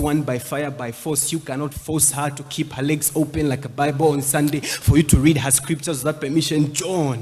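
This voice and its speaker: Somewhat breathy and at a moderate pace, the delivery stays monotone with flat intonation. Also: man. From Zambia. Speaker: spoken word poet. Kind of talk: poetry performance.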